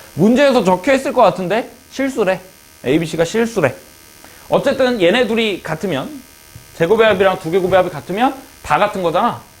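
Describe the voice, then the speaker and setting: The speaker talks at a fairly quick pace with lively intonation, leaving long, frequent pauses. Noticeable background noise runs underneath. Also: man, high pitch for a man. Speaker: math teacher. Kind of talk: lecture. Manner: fast.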